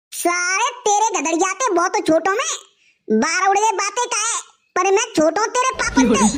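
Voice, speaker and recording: A cartoonish character voice, gruff and extremely high-pitched, at a moderate pace. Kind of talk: rustic cartoon comedy. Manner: gruff, insulting.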